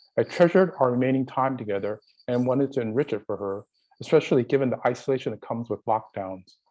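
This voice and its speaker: At a very fast pace, a voice with a dark, mellow tone and an American accent speaks with ordinary pitch variation. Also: man, medium pitch for a man. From San Francisco, US West Coast. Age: 60s. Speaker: community college student giving public comment. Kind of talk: public comment at board meeting.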